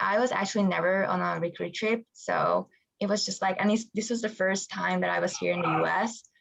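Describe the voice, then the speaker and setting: A woman at a moderate pace with a Hungarian accent. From Hungary. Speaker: college water polo player. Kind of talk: interview.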